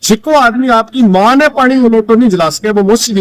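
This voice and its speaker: Lively intonation from a man with a Rajasthani accent, dry and close with no echo. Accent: Rajasthani-accented Hindi. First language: Rajasthani (speaking Hindi). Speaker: writer and language activist. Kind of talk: interview. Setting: outdoors at a farm fair.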